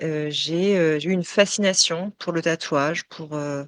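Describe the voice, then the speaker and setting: Speaking at a fairly slow pace with fairly even intonation, a woman is heard in a very clean recording with a silent background and a dry, close sound with no echo. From France, Touraine region. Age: 40s. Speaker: tattooed model. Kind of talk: interview testimony. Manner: hesitant, many fillers.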